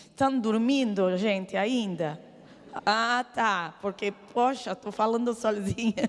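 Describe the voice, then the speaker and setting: A woman at a very slow pace, fairly high in pitch, with ordinary pitch variation. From Lebanon. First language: Arabic (speaking Portuguese). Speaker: church speaker giving testimony. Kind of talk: testimony. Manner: halting, hesitant.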